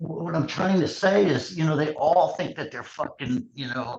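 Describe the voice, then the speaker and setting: Breathiness runs somewhat through this man's voice. His pitch moves in an ordinary way. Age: 60s. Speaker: former MMA matchmaker and announcer. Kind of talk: casual podcast interview.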